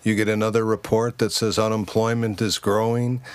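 A man with an American accent speaks at a medium pitch and a moderate pace. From United States. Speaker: businessman. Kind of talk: casual chat.

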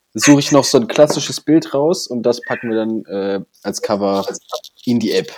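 This man has an unremarkable speaking voice, medium in pitch, with ordinary pitch variation and a moderate pace. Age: 20s. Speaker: podcast co-host, parliamentary staffer. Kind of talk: casual chat. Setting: at home in front of PC.

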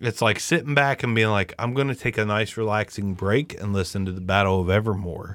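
A man with an ordinary speaking voice talks at a fairly quick pace with hardly any pauses, at a fairly low pitch with ordinary pitch variation. The recording is very clean, with a silent background. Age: 40s. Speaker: podcast host. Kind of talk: casual chat. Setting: home podcast stream. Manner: casual, profane, joking.

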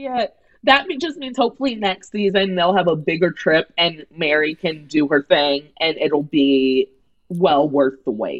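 A woman with an American accent and a fairly low pitch lets her voice swing very widely in pitch. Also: fairly slow pace. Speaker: comedy writer and radio host. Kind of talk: casual chat.

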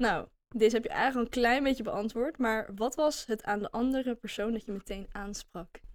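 A woman with a normal speaking voice and a fairly high pitch speaks at a moderate pace with ordinary pitch variation and hardly any pauses. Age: 20s. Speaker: podcast co-host, business student. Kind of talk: casual chat.

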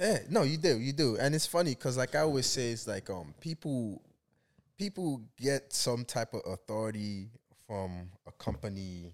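A man at medium pitch and moderate pace, with very wide pitch swings and big swings in loudness. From Nigeria. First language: not English. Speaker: entrepreneur and blogger. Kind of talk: casual interview chat. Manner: halting, many fillers.

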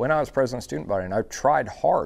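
A man with an American accent, medium in pitch. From Dallas, Texas. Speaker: entrepreneur. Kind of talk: interview.

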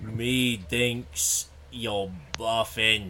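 Put-on character voice from a man at a medium pitch, with clear background noise. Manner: demonic.

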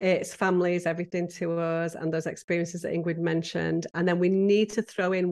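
A woman speaks with a British accent at a moderate pace, her pitch fairly low. Her intonation stays monotone and flat against a quiet background. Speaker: professional home organizer. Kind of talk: casual interview.

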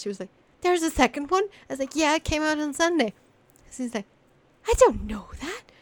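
With a high pitch, a woman talks at a fairly quick pace, using very wide pitch swings, big swings in loudness and long, frequent pauses, in a dry, close sound with no echo. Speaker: streamer, co-host. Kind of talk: casual chat, podcast recording.

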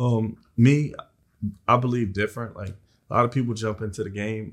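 A normal speaking voice from a man with an American accent, fairly low in pitch and fairly even in intonation, on a very clean recording with a silent background. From South Philadelphia. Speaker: entrepreneur, tow truck and recycling business owner. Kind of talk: casual interview.

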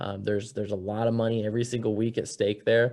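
A man with an American accent talks at a medium pitch in a monotone, flat intonation. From Cedar Rapids, Iowa. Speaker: racing driver. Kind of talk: interview conversation.

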